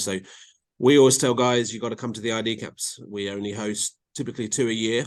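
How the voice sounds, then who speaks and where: A man's fairly quick speech with fairly even intonation against a quiet background. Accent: English. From England. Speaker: college soccer coach. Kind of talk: podcast interview. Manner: many fillers and repeats.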